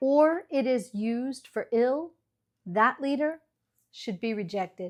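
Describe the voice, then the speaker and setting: A woman's high-pitched voice with an American accent, at a fairly slow pace, on a very clean recording with a silent background. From US Midwest, Iowa. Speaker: ESL teacher, channel host. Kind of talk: scripted lecture. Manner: measured, formal.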